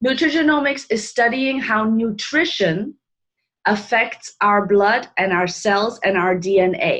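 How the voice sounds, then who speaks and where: In an ordinary speaking voice, a woman talks fairly slowly with lively intonation, fairly high pitch and very even loudness. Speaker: health product presenter. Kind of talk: informal presentation on a live call.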